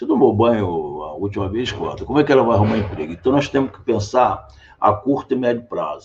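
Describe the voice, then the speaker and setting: A man is talking. His voice is somewhat breathy. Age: 60s. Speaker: political candidate and physician. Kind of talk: interview.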